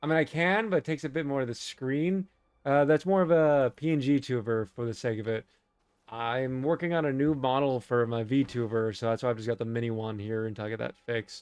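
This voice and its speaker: Talking at a fairly quick pace, a man with an American accent uses a medium pitch with ordinary pitch variation. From United States. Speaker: gaming streamer. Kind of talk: casual chat. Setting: live stream. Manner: halting.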